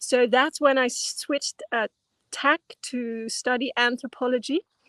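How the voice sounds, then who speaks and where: In a Dutch accent, a woman with a high pitch speaks at a moderate pace and fairly even intonation, in a dry, close sound with no echo. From Netherlands. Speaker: anthropologist and dance teacher. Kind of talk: interview. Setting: video call.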